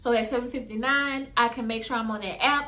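Her bright, sharp voice is high for a woman, with ordinary pitch variation at a moderate pace. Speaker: courier side-hustle vlogger. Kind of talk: casual vlog chat. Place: home room. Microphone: phone near.

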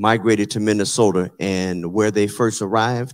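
A plain, everyday voice from a man with fairly low pitch at a moderate pace, against a quiet background. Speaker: panel moderator. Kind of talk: event moderation. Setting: stage with audience. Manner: casual. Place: hall.

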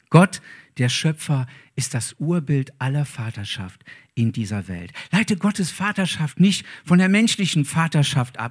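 A man speaks at a fairly slow pace in a somewhat breathy voice with a warm tone. The background is quiet. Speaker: preacher. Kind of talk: sermon. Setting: church. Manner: warm, earnest, preaching. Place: church. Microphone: handheld.

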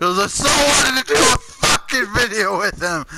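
Over noticeable background noise, a man speaks at an extremely high pitch with lively intonation. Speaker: gaming youtuber. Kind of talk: casual gaming chat. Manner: stuttering, halting; animated.

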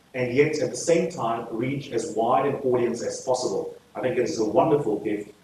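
Amid light background noise and audible room echo, a man speaks at a moderate pace. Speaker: guest lecturer. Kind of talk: lecture. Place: hall.

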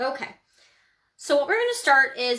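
Raised and projected, a woman's high-pitched voice with a bright, sharp tone comes at a moderate pace against a quiet background. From Ontario, Canada. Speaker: painting instructor. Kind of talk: tutorial. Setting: livestream. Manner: casual, chatty. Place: home room.

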